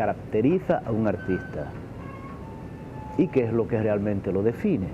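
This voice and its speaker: At a fairly slow pace, the speaker is heard over noticeable background noise. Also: man. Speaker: interviewee. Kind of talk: interview answer. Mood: thoughtful, romantic topic. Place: bar. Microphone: lapel.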